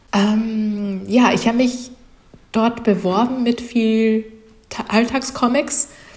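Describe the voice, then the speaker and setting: Through noticeable background noise, a woman speaks at a very slow pace with long, frequent pauses, very even loudness and fairly even intonation. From Japan, childhood in Russia, USA, Saudi Arabia, France. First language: Japanese (speaking German). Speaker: comic artist and illustrator. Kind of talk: interview. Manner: halting, many fillers.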